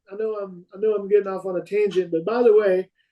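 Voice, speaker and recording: A man's high-pitched voice at a very fast pace, in a Texan accent. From Texas, Fort Worth. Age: 40s. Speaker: competitive rifle shooter. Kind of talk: podcast interview. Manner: animated.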